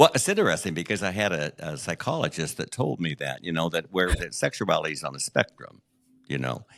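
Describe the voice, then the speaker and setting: Very deep and low in pitch with vocal fry, a man speaks with ordinary pitch variation in a very clean recording with a silent background and a dry, close sound with no echo. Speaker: memoir author and podcast host, guest telling life story. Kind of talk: interview testimony. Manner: halting, with fillers and repetitions.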